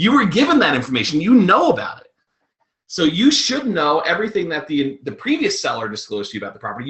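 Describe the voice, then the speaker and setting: The speaker talks at a very fast pace with a slight New York accent. Their pitch swings very widely. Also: man. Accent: slight New York accent, shows on 'water'. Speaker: real estate investor and presenter. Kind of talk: webinar presentation. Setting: recorded webinar.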